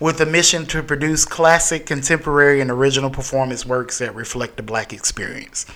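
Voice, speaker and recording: Ordinary pitch variation from a man, with noticeable background noise. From US South, Greenwood, South Carolina. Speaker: theatre company founder and artistic director. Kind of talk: casual chat.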